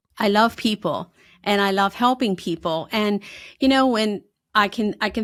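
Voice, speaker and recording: Moderate pace, ordinary pitch variation and a slight Pennsylvania accent, in a very clean recording with a silent background. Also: woman. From Pennsylvania, north of Harrisburg. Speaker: financial advisor. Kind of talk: podcast interview.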